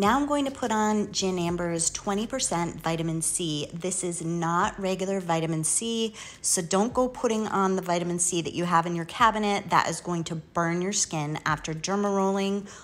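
A woman at a moderate pace with ordinary pitch variation and hardly any pauses. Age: 50s. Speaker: beauty YouTuber. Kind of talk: tutorial. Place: bathroom.

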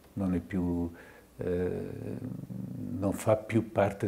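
A man with a fairly low, somewhat breathy voice and ordinary pitch variation. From Tuscany, Italy. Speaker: psychiatrist; lecturer. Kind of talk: lecture. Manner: halting. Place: hall. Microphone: podium.

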